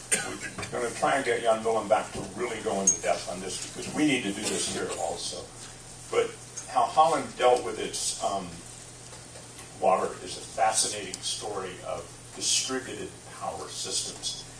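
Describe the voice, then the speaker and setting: Light background noise sits under the voice. The room echo is audible. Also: man, moderate pace. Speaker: radio host. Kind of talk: live event introduction. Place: shop.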